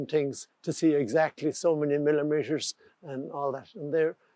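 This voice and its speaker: This man has a fairly high pitch, a dark, mellow tone and an Irish accent. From Ireland. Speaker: carpenter and joiner. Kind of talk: interview answer.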